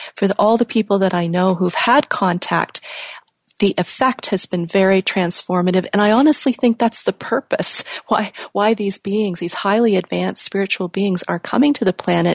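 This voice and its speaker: A woman's unremarkable speaking voice, with ordinary pitch variation, in a dry, close sound with no echo. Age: 50s. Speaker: radio host. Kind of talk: interview.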